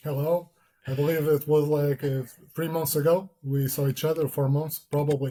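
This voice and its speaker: A man's fairly high, somewhat breathy voice with a dark, mellow tone, a non-native accent, monotone and flat intonation, and a moderate pace. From Portugal. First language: Portuguese. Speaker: security consultant. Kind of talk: interview. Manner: hesitant.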